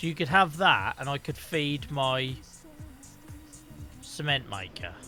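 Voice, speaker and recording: The speaker has a Norfolk accent and talks at a very slow pace. Music plays in the background. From Norfolk, England.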